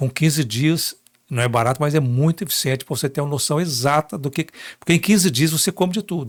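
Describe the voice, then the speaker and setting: This very clean recording with a silent background carries a somewhat breathy voice at a fairly quick pace with ordinary pitch variation. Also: man, fairly high pitch for a man. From Minas Gerais, Brazil. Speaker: journalist. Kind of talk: interview. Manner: animated.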